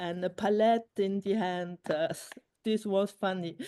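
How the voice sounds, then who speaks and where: Against a quiet background, a woman with a non-native accent speaks in a dark, mellow tone with fairly even intonation. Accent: non-native English speaker. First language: Luxembourgish. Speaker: filmmaker. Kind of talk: conversation interview. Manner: halting.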